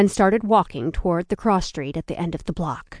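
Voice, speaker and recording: Against a quiet background, a woman speaks at a medium pitch. Her tone is animated and dramatic, with ordinary pitch variation. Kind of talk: audiobook narration of a suspense novel. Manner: animated, tense storytelling with dramatic pacing and character voices.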